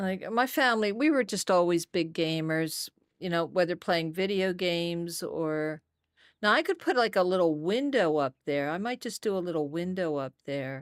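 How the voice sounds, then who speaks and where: A normal speaking voice moves at a moderate pace with lively intonation on a very clean recording with a silent background and a dry, close sound with no echo. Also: woman, fairly low pitch for a woman. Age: 60s. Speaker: gaming streamer. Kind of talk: casual live-stream chat while gaming.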